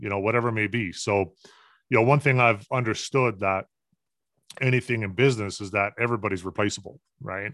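A man talks in a normal speaking voice at a fairly quick pace with ordinary pitch variation. The recording is very clean with a silent background and a dry, close sound with no echo. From Newfoundland, Canada. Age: 40s. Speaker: business consultant. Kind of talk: podcast interview.

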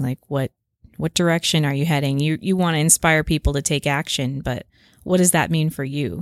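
A woman with a very deep, low pitch speaks at a moderate pace in a calm tone and fairly even intonation. The recording is very clean, with a silent background. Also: dry, close sound with no echo. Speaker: podcast co-host and YouTuber. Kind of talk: casual chat.

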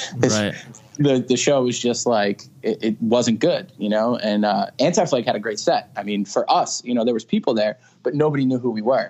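This man's voice sits at a medium pitch. It rises and falls in an ordinary way. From Long Island, New York. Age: 30s. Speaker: metal band vocalist. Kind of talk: casual chat. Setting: remote call, pacing at the beach. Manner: fast.

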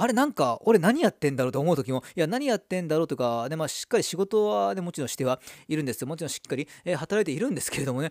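The man's very fast speech has a dry, close sound with no echo. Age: 30s. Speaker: football YouTuber. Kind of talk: casual solo talk. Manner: rambling with many fillers.

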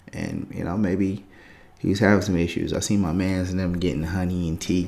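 Vocal fry in a man's very deep, low voice, moving at a moderate pace. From San Francisco Bay Area. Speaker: podcaster. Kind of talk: casual rant, monologue. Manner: casual, rambling, conversational.

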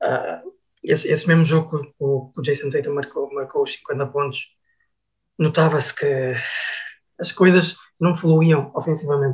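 Long, frequent pauses break up a man's fairly slow speech. His voice is somewhat breathy, with fairly even intonation. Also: fairly high pitch for a man. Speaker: basketball commentator. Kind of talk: casual chat. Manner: halting.

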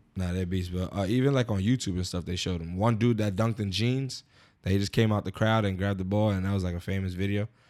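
A man speaks very fast with a fairly low pitch and fairly even intonation. The recording is very clean, with a silent background. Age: 30s. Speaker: podcast co-host. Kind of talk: casual chat.

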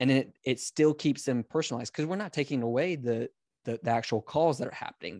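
A man talks at a fairly quick pace in a plain, everyday voice, with ordinary pitch variation and a dry, close sound that has no echo. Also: quiet background. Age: 30s. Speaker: podcast co-host. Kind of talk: casual chat. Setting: video call.

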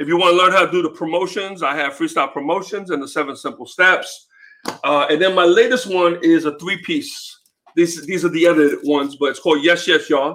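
Talking at a fairly quick pace, a man with a high pitch shows ordinary pitch variation. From US Northeast, New York City (Bronx), Puerto Rican. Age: 50s. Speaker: music promoter and author. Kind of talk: casual interview.

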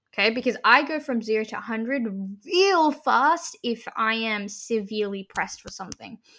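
At a moderate pace, a woman with an Australian accent speaks in a fairly high voice with lively intonation, on a very clean recording with a silent background. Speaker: university student and student radio host. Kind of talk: casual chat.

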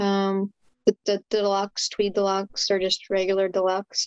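At a fairly slow pace, a woman with an ordinary speaking voice talks at a medium pitch, the sound dry and close with no echo. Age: 20s. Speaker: guitarist and guitar builder. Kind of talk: casual chat.

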